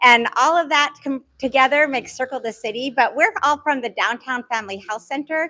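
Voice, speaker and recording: Projecting a raised voice at a high pitch, a woman talks at a fairly quick pace with hardly any pauses. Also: ordinary pitch variation. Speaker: physician, clinic medical director. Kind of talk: community meeting presentation. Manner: casual, with many fillers and restarts.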